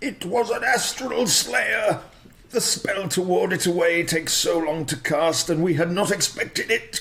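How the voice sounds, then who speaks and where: Using a put-on character voice, a man talks at a high pitch and a moderate pace with light background noise. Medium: actual play.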